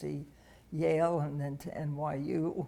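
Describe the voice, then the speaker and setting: With an American accent, a woman speaks at a very deep, low pitch in a dark, mellow tone with vocal fry. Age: 80s+. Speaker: interviewee telling life story. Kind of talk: oral history interview. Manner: halting.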